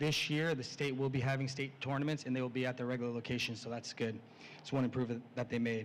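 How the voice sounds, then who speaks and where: This man speaks at a very fast pace. His intonation is monotone and flat. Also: medium pitch for a man. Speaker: athletic director. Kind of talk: school presentation to parents.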